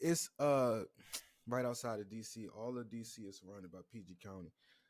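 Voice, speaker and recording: A man's medium-pitched voice with an American accent, ordinary pitch variation, a fairly quick pace and big swings in loudness. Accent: DC accent comes out when drinking. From Washington DC area. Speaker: podcast host. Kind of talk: casual chat.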